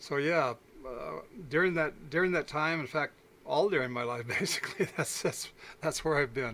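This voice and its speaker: With an American accent, a man speaks in a bright, sharp tone at a fairly high pitch with ordinary pitch variation. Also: moderate pace. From Arizona, US. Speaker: UFO incident witness, former logger. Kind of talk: interview. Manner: hesitant, many fillers.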